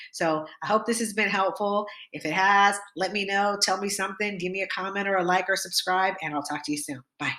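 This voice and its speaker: A woman's bright, sharp voice at medium pitch, fairly quick and with hardly any pauses, with fairly even intonation. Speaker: health and diet vlogger. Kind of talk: product review vlog. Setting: on the way to grocery store. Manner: fast; casual, conversational.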